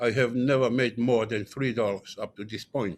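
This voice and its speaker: Medium pitch and fairly even intonation from a man with a Tongan accent, at a moderate pace. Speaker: panelist. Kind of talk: personal testimony. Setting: conference stage with audience.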